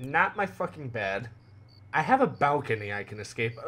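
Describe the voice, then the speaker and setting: A man at a moderate pace, pitch swinging very widely, over light background noise. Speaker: gaming youtuber. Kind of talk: gameplay commentary. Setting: home recording room. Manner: animated. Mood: animated, joking. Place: home room. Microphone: headset.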